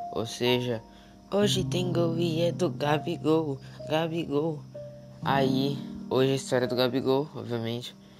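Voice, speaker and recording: Over background music, a man speaks at a fairly slow pace with ordinary pitch variation. He leaves long, frequent pauses. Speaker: football storyteller. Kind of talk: casual football history talk to camera.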